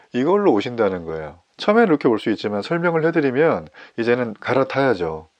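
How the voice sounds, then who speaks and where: The talking comes at a very fast pace with very wide pitch swings. The background is quiet. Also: man, medium pitch for a man. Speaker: pastor. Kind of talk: sermon. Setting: online morning worship service.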